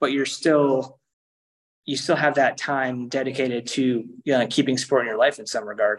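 An unremarkable speaking voice at a moderate pace. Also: man. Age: 40s. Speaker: triathlon coach and athlete. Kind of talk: casual chat.

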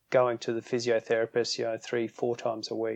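With an Australian accent, a man speaks at medium pitch, the sound dry and close with no echo over a quiet background. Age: 50s. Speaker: strength and conditioning coach. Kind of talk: interview.

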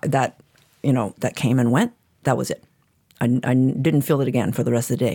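Her pitch very deep and low, a woman with a dark, mellow tone talks fairly quickly with ordinary pitch variation, pausing often and at length. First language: Chinese. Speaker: guest receiving a reading. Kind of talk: casual conversational interview.

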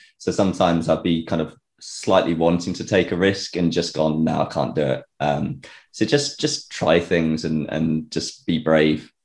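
A man's very deep, low pitch with vocal fry, ordinary pitch variation and a moderate pace. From Gloucestershire, England. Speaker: bass player in a band. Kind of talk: casual interview.

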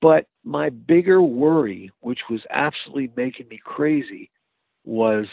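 A man talks at a fairly slow pace with lively intonation. He has a normal speaking voice. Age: 60s. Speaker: fire chief. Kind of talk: casual interview.

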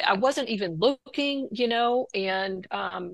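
Her pitch is fairly high. The woman's intonation is lively. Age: 60s. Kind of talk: testimony. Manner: halting.

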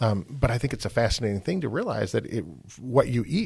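Lively intonation and vocal fry from a man. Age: 50s. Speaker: podcast host. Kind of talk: interview.

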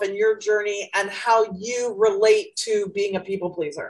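A woman with an unremarkable speaking voice talks at a moderate pace. Her fairly high pitch has ordinary variation. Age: 60s. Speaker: life coach, podcast host. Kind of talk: casual interview chat.

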